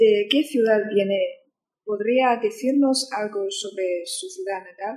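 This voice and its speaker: With a Chinese accent, a woman speaks at a very slow pace and a fairly high pitch. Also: big swings in loudness. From China, Qingdao. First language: Chinese (speaking Spanish). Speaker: student interviewer. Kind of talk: interview.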